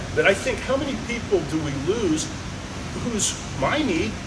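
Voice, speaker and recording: A man's voice swings very widely in pitch amid noticeable background noise and audible room echo. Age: 70s. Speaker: judo instructor. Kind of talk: casual chat.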